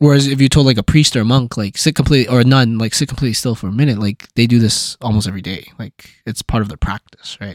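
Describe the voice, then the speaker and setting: Speaking at a very fast pace with hardly any pauses, a man with a medium-pitched voice and ordinary pitch variation is heard in a very clean recording with a silent background and a dry, close sound with no echo. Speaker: podcast host. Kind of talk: casual chat. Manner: fast talker.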